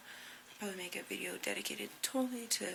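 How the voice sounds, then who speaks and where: Using an unremarkable speaking voice, a woman talks at a moderate pace with fairly even intonation. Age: 20s. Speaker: recovering drug user. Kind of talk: casual talk to camera.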